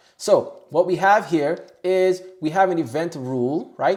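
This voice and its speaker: This man's voice carries an animated tone with ordinary pitch variation. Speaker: tech tutorial youtuber. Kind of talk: tutorial. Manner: loud.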